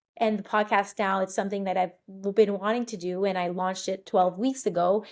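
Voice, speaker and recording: Medium in pitch, a woman speaks at a fairly quick pace with monotone, flat intonation. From Montreal, Quebec and Florida. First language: French. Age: 30s. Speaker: podcast host. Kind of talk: podcast monologue. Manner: casual, with frequent fillers.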